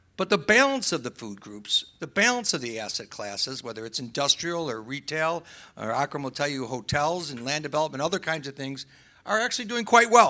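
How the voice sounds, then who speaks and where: A man's fairly high, bright, sharp voice with an American accent, very wide pitch swings, big loudness swings and a fairly quick pace in a very clean recording with a silent background. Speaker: real estate developer panelist. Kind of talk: panel discussion.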